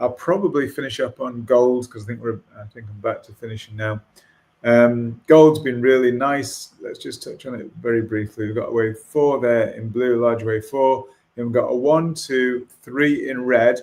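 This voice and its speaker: A man with a normal speaking voice and medium pitch talks at a moderate pace, his intonation fairly even but his loudness swinging widely. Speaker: market analyst. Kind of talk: market analysis on a video call.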